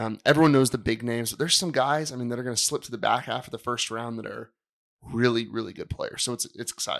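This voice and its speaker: A man races along very fast with a mid-range voice, varying his pitch in a normal way. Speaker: basketball coach and co-host.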